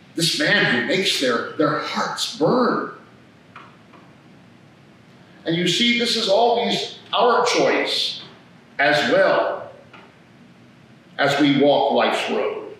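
A man at a very slow pace with long, frequent pauses, amid strong room echo and light background noise. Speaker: priest. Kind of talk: sermon. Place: church. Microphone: podium.

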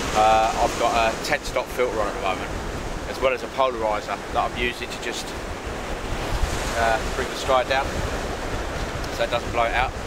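Loud background noise fills the recording. Through it, a man speaks at a fairly quick pace. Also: dry sound with no echo. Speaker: photography vlogger. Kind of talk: casual vlog chat. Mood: relaxed, chatty. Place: beach. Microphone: camera far.

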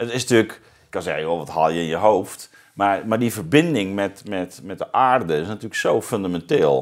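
Quiet background behind a man's fairly low voice, moderate pace, ordinary pitch variation. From Zeeuws-Vlaanderen, southern Netherlands; Netherlands. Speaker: podcast host, philosopher; podcast host. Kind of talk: interview conversation. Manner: halting, many fillers. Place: studio. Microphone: lapel.

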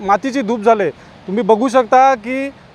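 A man with an extremely high pitch and ordinary pitch variation talks over noticeable background noise. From Nagaon, Alibag, Raigad (Konkan). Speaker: villager. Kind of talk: vox pop interview.

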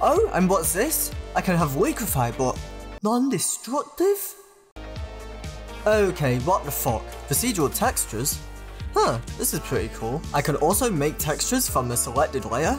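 A man with a British accent speaks at a moderate pace. Music plays in the background. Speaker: graphic designer. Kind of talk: casual software showcase. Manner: excitable, sweary.

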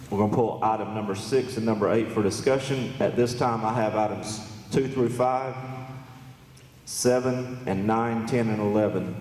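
In an American accent, a man speaks at a moderate pace and medium pitch with monotone, flat intonation, amid noticeable background noise and audible room echo. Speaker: county commission chairman. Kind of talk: public meeting chairing. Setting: public meeting hall with PA speakers. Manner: loud.

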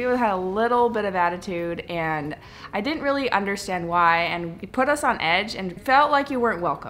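Light background noise sits under a woman's bright, sharp tone. She speaks at a moderate pace with lively intonation. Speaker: travel vlogger. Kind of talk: casual vlog chat. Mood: reflective, mildly critical. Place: home room. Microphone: phone near.

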